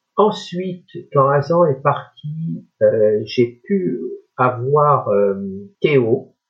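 Somewhat breathy, a man speaks very slowly at a fairly high pitch, his voice swinging very widely in pitch. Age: 60s. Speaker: retired blind guide dog user. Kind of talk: interview conversation.

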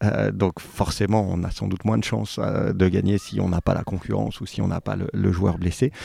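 Lively intonation marks a man's very deep, low voice as he speaks at a moderate pace over noticeable background noise. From France, Saint-Étienne. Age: 40s. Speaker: rugby club president. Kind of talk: interview. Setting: at guest's home.

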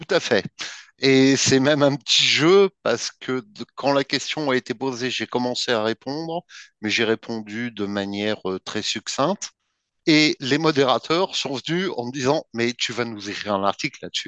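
A man with an ordinary speaking voice talks at a fairly slow pace in a medium pitch with ordinary pitch variation, the sound dry and close with no echo against a quiet background. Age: 50s. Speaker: BDSM practitioner and article writer. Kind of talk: interview.

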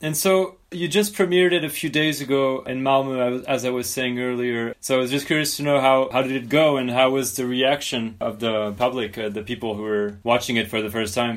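The speaker has a French accent and a fairly quick pace. There are hardly any pauses. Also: man, medium pitch for a man, ordinary pitch variation. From France. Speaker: podcast host. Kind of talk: casual interview.

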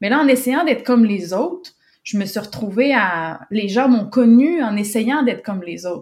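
Lively intonation marks this fairly slow delivery in a Quebec accent. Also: woman. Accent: Québécois. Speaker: communications and business development professional. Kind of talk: testimony. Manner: halting, many repetitions and fillers.

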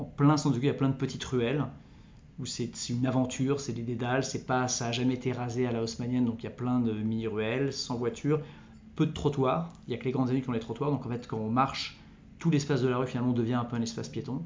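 Audible room echo surrounds a man talking at a very fast pace. His pitch is medium and his intonation fairly even. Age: 40s. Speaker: entrepreneur. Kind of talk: interview. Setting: recorded on location at his venue. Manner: halting.

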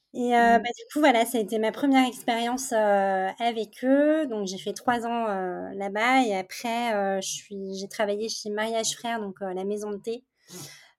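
A woman with a fairly high pitch speaks at a fairly slow pace. The recording is very clean with a silent background. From France, Paris region, with teen years in Montreal. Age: 30s. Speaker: candle brand founder. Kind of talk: interview. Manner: hesitant, many fillers.

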